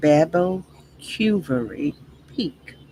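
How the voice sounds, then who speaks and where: A woman with a Texas accent, fairly low in pitch, at a very slow pace. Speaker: livestream host. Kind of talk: reading aloud with commentary. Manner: deliberate, self-correcting reading.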